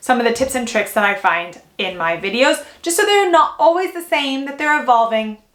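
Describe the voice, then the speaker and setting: A woman speaks at a moderate pace in a high-pitched, energetic tone. Background noise is noticeable. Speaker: fashion YouTuber. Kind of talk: vlog tutorial.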